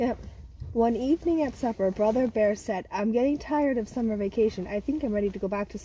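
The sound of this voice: Someone reads in an unforced reading voice.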